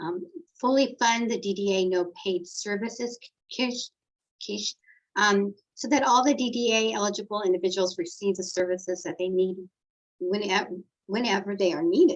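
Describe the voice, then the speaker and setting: A woman of medium pitch speaks at a moderate pace with long, frequent pauses. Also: ordinary pitch variation. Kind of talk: policy presentation.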